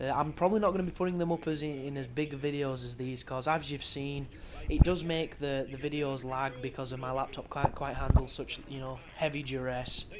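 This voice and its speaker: With hardly any pauses, a man speaks fairly quickly in a fairly high pitch and fairly even intonation, against noticeable background noise. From England. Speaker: video game commentator. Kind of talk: game walkthrough commentary. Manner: casual.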